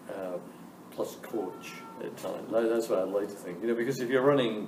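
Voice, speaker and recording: Over noticeable background noise and audible room echo, a man speaks fairly quickly at a medium pitch with ordinary pitch variation. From Scotland. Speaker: business school dean. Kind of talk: Q&A interview with students.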